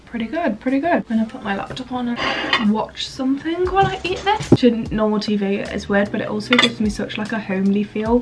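Over loud background noise, a woman speaks at a fairly quick pace with hardly any pauses. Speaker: student vlogger. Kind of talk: casual vlog chat. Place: home room. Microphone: camera far.

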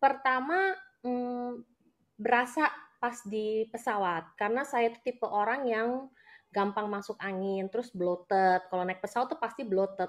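Against a quiet background, a woman speaks at a moderate pace. Her pitch is fairly high with ordinary pitch variation. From Jakarta, Indonesia. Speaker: businesswoman and network marketing leader. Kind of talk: live interview, personal testimony. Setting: live video. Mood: grateful, warm. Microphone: video call.

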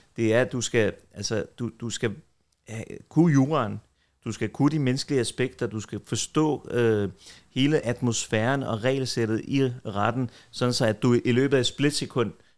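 In an ordinary speaking voice, a man talks at a moderate pace with a medium pitch and fairly even intonation against a quiet background. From Denmark, Copenhagen (Tingbjerg); Denmark. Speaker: defence lawyer. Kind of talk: casual interview. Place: home room. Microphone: studio mic.

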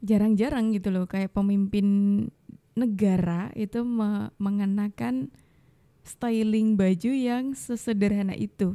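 Over a quiet background, a woman talks very slowly at a medium pitch. Her tone is dark and mellow, with ordinary pitch variation. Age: young. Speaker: video commentator reacting to clips. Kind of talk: casual reaction commentary. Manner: animated. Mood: opinionated, supportive, lively. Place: studio. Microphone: studio mic.

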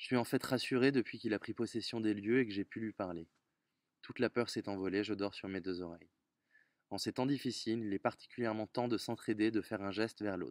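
A man's fairly low voice at a fairly quick pace, fairly even in intonation, with a dry sound with no echo and a quiet background. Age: 30s. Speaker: volunteer donor. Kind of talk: testimony. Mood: earnest, reflective. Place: garden. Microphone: phone near.

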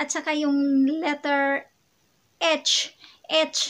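A woman speaks with a high pitch. Her intonation is monotone and flat. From Philippines, Western Visayas (Ilonggo). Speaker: vlogger. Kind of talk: casual vlog talk. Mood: cheerful, smiling. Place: home room. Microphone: phone near.

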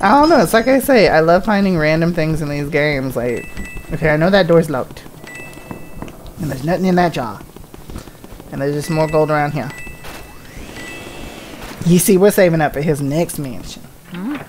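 The voice moves with ordinary pitch variation and long, frequent pauses. Light background noise sits beneath it. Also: man. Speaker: gaming video creator. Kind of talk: casual let's play commentary. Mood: enthusiastic, casual. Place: home room.

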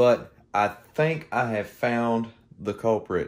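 A man's voice over faint music in the background. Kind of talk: casual vlog chat. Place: garage. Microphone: phone near.

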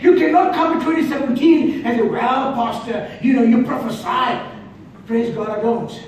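Speaking at a fairly slow pace with an extremely high pitch and ordinary pitch variation, a man is heard through strong room echo and light background noise. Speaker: preacher. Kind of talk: sermon. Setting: church. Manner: animated; repetitive, call-and-response. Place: church. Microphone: camera far.

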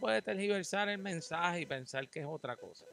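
A high-pitched male voice in a Puerto Rican accent, bright and sharp in tone, with a dry sound and no echo. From Puerto Rico. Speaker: podcast host. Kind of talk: casual interview. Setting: outdoors. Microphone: handheld.

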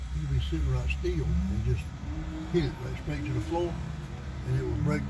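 Moderate pace over loud background noise. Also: man. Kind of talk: casual storytelling chat. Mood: relaxed, nostalgic. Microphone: phone near.

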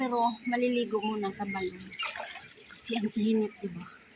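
With a fairly high pitch, a woman keeps a moderate pace as noticeable background noise fills the recording. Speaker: vlogger. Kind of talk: casual vlog narration. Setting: outdoors. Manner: animated.

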